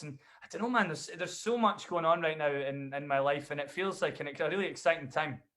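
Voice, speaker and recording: The man's pitch is fairly high. He talks at a fairly quick pace. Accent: Dundee. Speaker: bagpiper and singer-songwriter. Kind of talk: casual interview chat.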